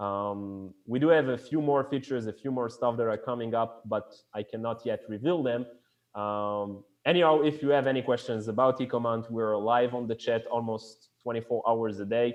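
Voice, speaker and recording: At a moderate pace, a man with a French accent talks at a medium pitch with fairly even intonation. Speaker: e-commerce company founder. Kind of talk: live podcast interview. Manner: halting, searching for words.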